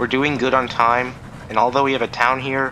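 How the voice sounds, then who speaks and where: A man talks at a medium pitch and a fairly quick pace. His intonation is monotone and flat, and there is noticeable background noise. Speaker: gaming youtuber. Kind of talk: gameplay commentary. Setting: recording over gameplay. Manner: casual rambling.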